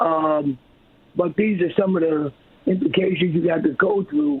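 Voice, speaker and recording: This man's voice sits high for a man, moving at a moderate pace with ordinary pitch variation. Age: 70s. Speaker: herbalist and business owner. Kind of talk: radio interview.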